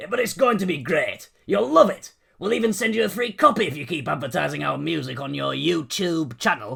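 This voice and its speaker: In a put-on character voice, a man talks fairly quickly at a fairly high pitch with hardly any pauses. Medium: read story. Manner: gruff, blunt.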